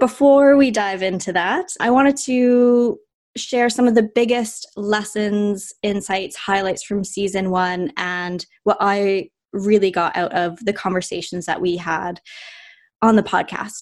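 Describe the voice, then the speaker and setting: Against a quiet background, a woman with a Canadian accent speaks fairly slowly at a medium pitch with ordinary pitch variation. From Canada, Vancouver. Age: 20s. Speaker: podcast host. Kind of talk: podcast monologue.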